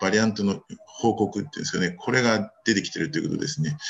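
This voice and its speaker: Here is a man with an unremarkable speaking voice. His fairly low pitch carries lively intonation. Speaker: reproductive medicine physician. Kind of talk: journal club paper presentation. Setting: video call.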